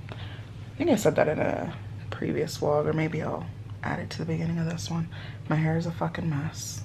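A woman's very deep, low pitch at a moderate pace, with noticeable background noise. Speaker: vlogger. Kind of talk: casual vlog chat. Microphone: phone near.

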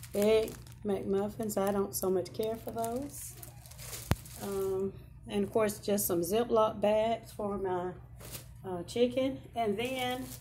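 Light background noise sits under a woman's voice. She speaks at a very slow pace with long, frequent pauses. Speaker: home vlogger. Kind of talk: casual vlog chat. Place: home room. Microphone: phone near.

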